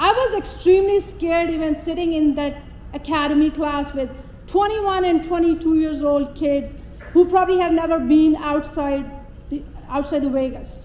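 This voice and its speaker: A woman's extremely high voice in a Pakistani accent, ordinary pitch variation, noticeable background noise and audible room echo. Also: moderate pace. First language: not English (English is her third language). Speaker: police officer. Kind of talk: public speech. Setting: stage with audience.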